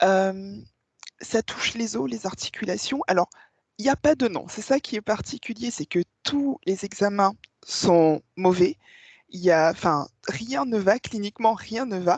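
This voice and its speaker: A woman of medium pitch speaks fairly slowly with lively intonation, in a dry, close sound with no echo and a quiet background. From Réunion. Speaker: hypnosis client. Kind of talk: testimony. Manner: halting.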